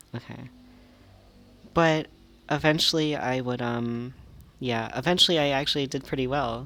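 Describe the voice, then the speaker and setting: A man speaks in a soft-spoken way. His intonation is fairly even. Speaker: gaming youtuber. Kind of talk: gameplay commentary. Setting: small library study room. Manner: halting.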